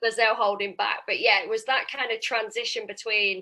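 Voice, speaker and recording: Loud and fairly high-pitched, a woman speaks with a bright, sharp tone. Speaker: property investor and sourcer. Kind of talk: interview. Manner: animated.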